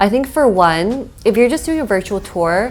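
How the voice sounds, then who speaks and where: A woman with an American accent talks while music plays behind her. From US West Coast, San Francisco Bay Area. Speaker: expat vlogger. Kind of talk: casual vlog monologue. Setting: at home in her condo. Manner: conversational, with fillers.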